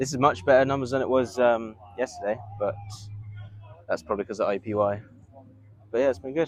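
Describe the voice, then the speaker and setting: A man talks at a fairly quick pace with a medium pitch and ordinary pitch variation. His loudness swings widely, and he takes long, frequent pauses. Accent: English. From England, Bedfordshire. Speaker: rugby coach. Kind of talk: casual chat.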